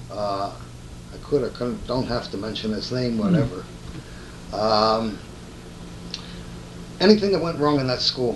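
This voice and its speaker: A man with a Northeast Pennsylvania accent at a moderate pace, with long, frequent pauses and noticeable background noise. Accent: Northeastern Pennsylvania American English. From Stroudsburg, Pennsylvania. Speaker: retired car dealer. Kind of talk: oral history interview answer.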